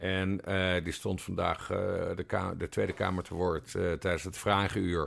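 A man speaks at a very slow pace in a very deep, low pitch. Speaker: podcast co-host, journalist. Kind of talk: casual chat.

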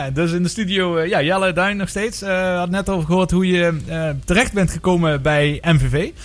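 Ordinary pitch variation and a moderate pace from a man with a plain, everyday voice. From Netherlands, Maastricht (Limburg). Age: 40s. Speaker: radio sports show host. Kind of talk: casual sports talk radio. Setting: radio studio.

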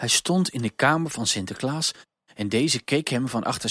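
With a quiet background, the speaker is reading aloud in a natural voice.

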